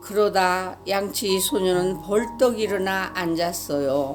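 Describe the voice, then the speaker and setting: Music plays in the background as a woman with a medium pitch talks at a very slow pace. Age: old. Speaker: storyteller. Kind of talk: children's story reading.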